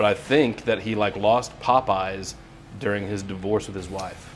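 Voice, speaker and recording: Over music in the background, a man with a fairly low pitch speaks at a moderate pace using fairly even intonation. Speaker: podcast host. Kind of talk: casual interview hosting.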